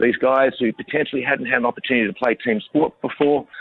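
Over noticeable background noise, a man with an Australian accent speaks at a fairly quick pace. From Australia, country New South Wales. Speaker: founder of an inclusive rugby club. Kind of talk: radio interview. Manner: hesitant, many fillers.

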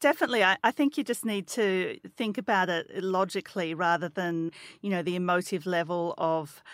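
The speaker has an Australian accent. The recording is very clean and dry, with a silent background and a close sound with no echo. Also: woman. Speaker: podcast co-host, finance journalist. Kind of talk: casual explanatory chat.

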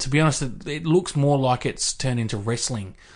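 There is little background sound as a man talks in an Australian accent. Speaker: sports podcast co-host. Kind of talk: casual chat.

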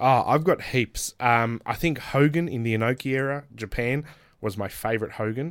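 A man with an Australian accent speaks with ordinary pitch variation in a very clean recording with a silent background. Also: medium pitch for a man, moderate pace. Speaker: professional wrestler. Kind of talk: casual chat. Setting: studio.

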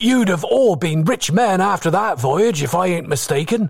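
In a put-on character voice, a man talks at a high pitch with vocal fry and lively intonation on a very clean recording with a silent background. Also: moderate pace.

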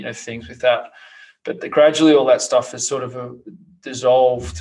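Here a man speaks with an Australian accent. Music plays in the background. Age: 30s. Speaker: podcast host. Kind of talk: interview.

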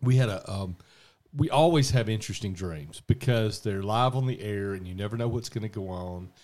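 Speaking at a fairly quick pace with a Southern US accent, a man uses a fairly low pitch and ordinary pitch variation in a very clean recording with a silent background. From US South. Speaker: podcast host and radio dream interpreter. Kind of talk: casual chat. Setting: home garage studio.

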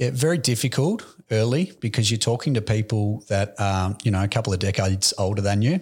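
A somewhat breathy voice with an Australian accent moves at a moderate pace on a very clean recording with a silent background. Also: man. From Australia, Melbourne (Aspendale). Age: 20s. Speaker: real estate agency director. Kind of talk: interview.

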